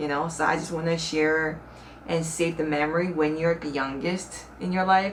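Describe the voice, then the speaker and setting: A woman talks at a moderate pace in a very deep, low voice with flat, monotone intonation. Room echo is audible, and background noise is noticeable. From South Korea. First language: Korean. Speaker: YouTuber. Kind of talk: casual vlog talk to camera. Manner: conversational, with fillers.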